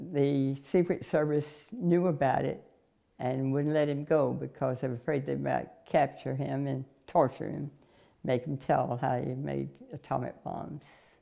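A woman's very deep, low voice with vocal fry, a dark, mellow tone, fairly even intonation and a Southern US accent, at a fairly slow pace over a quiet background. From North Carolina. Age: 80s+. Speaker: interviewee. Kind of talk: life story interview; interview answer. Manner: halting. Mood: warm, amused. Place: home room. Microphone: lapel.

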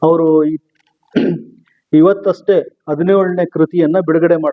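The man speaks at a high pitch with monotone, flat intonation. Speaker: interviewer. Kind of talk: interview questions.

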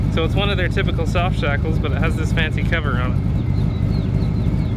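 Loud background noise sits under a dry sound with no echo. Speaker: shop vlog host. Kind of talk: casual vlog chat. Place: open country. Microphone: phone near.

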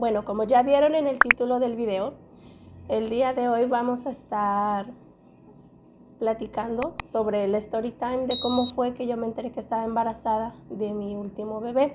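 A woman with a fairly high pitch and fairly even intonation. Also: moderate pace.

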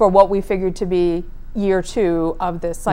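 A woman talks at a fairly quick pace in a dark, mellow tone. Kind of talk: interview answer. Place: studio.

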